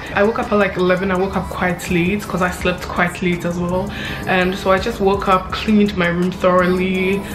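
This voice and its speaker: A woman speaks at a moderate pace in a monotone, flat intonation. Clear music plays in the background. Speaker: vlogger. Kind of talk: casual vlog chat. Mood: relaxed and friendly. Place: home room.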